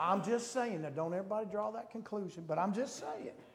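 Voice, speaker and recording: A man speaks at a high pitch in an animated tone with lively intonation. Noticeable background noise sits behind him. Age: 60s. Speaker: preacher. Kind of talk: sermon. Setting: church. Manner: animated, rhetorical call-and-response preaching.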